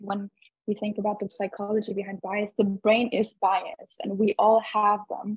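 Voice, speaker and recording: A woman speaks at a moderate pace in a medium, somewhat breathy voice with flat, monotone intonation. The sound is dry with no echo, and the background is quiet. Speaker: event participant. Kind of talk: casual discussion. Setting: video call. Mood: thoughtful, conversational. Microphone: video call.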